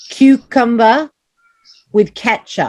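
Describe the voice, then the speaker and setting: A woman speaks with a fairly high pitch. The sound is dry and close, with no echo. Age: 20s. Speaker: teacher. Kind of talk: online class with children. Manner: animated.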